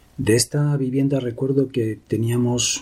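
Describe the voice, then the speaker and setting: A man speaks at a fairly slow pace in a dark, mellow tone that is somewhat breathy. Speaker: memoir narrator. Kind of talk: reading aloud.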